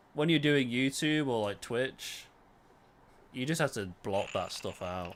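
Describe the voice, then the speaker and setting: With a British accent, a man talks at a fairly slow pace and a medium pitch. His intonation is lively, and the recording is very clean with a silent background. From Britain. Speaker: gaming streamer. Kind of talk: casual live stream chat. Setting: live stream.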